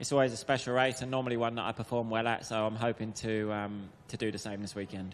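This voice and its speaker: Talking at a very fast pace with hardly any pauses, a man with a southern English accent keeps a medium pitch and a monotone, flat intonation. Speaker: motocross rider. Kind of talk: press conference answers. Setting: media center press conference.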